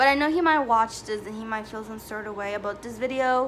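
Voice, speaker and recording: A woman speaks with a fairly high pitch. Her tone is bright and sharp. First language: not English. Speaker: YouTuber. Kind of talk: storytime vlog. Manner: casual, filler-heavy.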